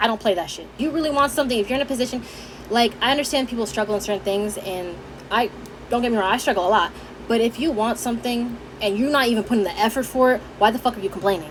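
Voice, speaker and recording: A woman's fairly high, animated voice at a very fast pace, ordinary pitch variation, and noticeable background noise. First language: Haitian Creole. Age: 20s. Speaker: vlogger. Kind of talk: casual chat.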